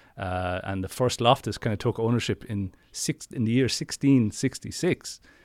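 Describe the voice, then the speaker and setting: A man speaks in a southeast Irish accent at a medium pitch, with ordinary pitch variation. The sound is dry and close, with no echo. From Ireland; Wexford, southeast Ireland. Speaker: ghost story teller, local guide. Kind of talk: casual chat, storytelling. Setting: remote call, recorded. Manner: fast talker.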